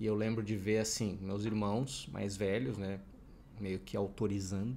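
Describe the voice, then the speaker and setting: This man keeps to a fairly slow pace, and his pitch varies in an ordinary way. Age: 30s. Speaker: youtuber; podcast co-host. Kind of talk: casual chat. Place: home room. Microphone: studio mic.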